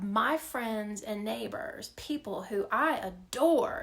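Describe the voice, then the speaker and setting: Very slowly, a woman with an American accent speaks at a fairly high pitch with ordinary pitch variation. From US mid-Atlantic and Mississippi. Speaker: speaker on race and justice. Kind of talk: personal talk. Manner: casual, conversational.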